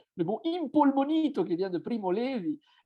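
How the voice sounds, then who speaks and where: With an Italian accent, a man speaks at a moderate pace, his pitch swinging very widely. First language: Italian (speaking French). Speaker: writer and self-translator. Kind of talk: seminar talk. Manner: halting, with many fillers.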